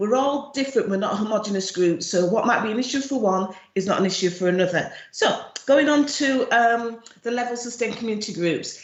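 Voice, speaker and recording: The speaker talks at a fairly quick pace with ordinary pitch variation. Noticeable background noise and audible room echo fill the recording. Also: woman, fairly high pitch for a woman. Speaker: charity chief executive. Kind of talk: presentation at an online event.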